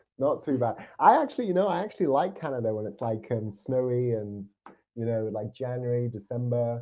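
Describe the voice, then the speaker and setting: A man with a British accent speaks at a fairly quick pace, his medium pitch showing ordinary variation. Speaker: podcast host. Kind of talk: casual chat; interview.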